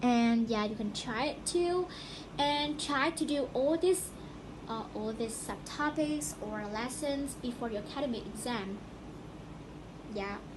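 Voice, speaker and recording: A woman with a non-native accent speaks at a fairly slow pace, her high pitch carrying lively intonation. She leaves long, frequent pauses, and there is noticeable background noise. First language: not English. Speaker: student podcaster. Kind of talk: casual educational podcast talk.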